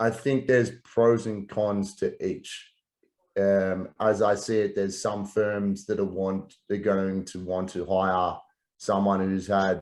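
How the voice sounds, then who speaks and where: With an Australian accent, a man talks at a very slow pace, his fairly low voice monotone and flat. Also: quiet background. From Australia, Melbourne. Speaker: real estate professional, former international student. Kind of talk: interview.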